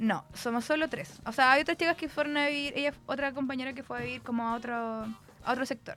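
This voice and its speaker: Her pitch is high for a woman, with ordinary variation. She talks at a very fast pace. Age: 30s. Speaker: student. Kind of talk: interview.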